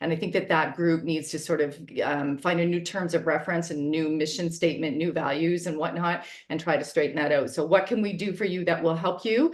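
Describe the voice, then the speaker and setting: Fairly even intonation comes at a fairly quick pace, with audible room echo around the voice. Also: woman, fairly low pitch for a woman. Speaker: fire safety public education director. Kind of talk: webinar presentation. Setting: video call. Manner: fast.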